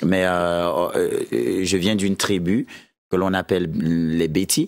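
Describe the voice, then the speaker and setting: A man's very deep, low voice at a very slow pace, with very even loudness and ordinary pitch variation. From Cameroon, centre (Akonolinga). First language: a Beti language of central Cameroon (speaking French). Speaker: musician. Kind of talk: talk show interview.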